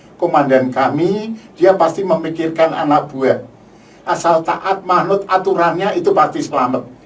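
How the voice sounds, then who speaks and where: In very even loudness and fairly even intonation, a man with a high pitch speaks at a moderate pace. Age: 60s. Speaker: UN peacekeeping veteran. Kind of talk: testimony. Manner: halting, with repetitions.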